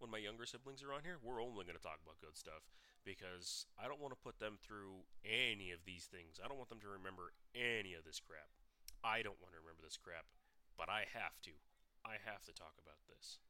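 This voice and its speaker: This man has a fairly low pitch and a bright, sharp tone, talking at a fairly quick pace with lively intonation and big swings in loudness. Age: 20s. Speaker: podcast host. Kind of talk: personal monologue about childhood trauma.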